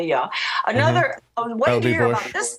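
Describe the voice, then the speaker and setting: Noticeable background noise surrounds a woman with an American accent. Her pitch is fairly high and her pace fairly quick. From Brooklyn, New York. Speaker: former education policy advisor and author. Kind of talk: interview answer. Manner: casual, conversational.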